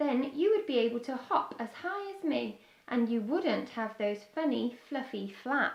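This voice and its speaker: Putting on a character voice, a woman speaks at a moderate pace in a high, croaky pitch. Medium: read story. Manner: friendly.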